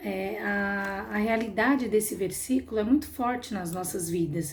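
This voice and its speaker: Somewhat breathy, a woman talks at a fairly slow pace with a medium pitch and ordinary pitch variation. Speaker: Sunday school teacher. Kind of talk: Bible class lesson.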